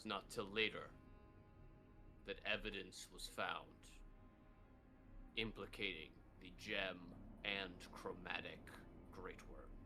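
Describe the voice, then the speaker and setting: A man speaks in a put-on character voice with a solemn tone and fairly low pitch, going at a fairly slow pace with long, frequent pauses over clear background noise. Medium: actual play. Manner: solemn, measured.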